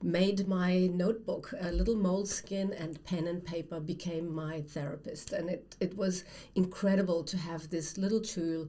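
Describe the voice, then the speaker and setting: This woman's pitch sits fairly low and her intonation stays fairly even. She talks at a moderate pace. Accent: German. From Germany. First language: German. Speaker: writer, former academic. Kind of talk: casual conversation.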